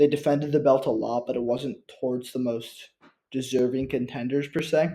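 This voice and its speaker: A man speaks in a dark, mellow tone with fairly even intonation. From Ireland. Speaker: MMA YouTuber. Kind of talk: casual monologue ranking list. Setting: home recording on computer. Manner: halting, many fillers.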